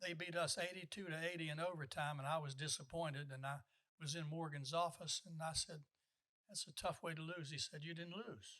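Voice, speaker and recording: With an American accent, a man talks at a fairly quick pace in a fairly high pitch, his tone bright and sharp and his intonation fairly even. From West Virginia and the Washington DC area. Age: 80s+. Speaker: retired basketball coach. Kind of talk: interview storytelling. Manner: hesitant, repeated words and uh.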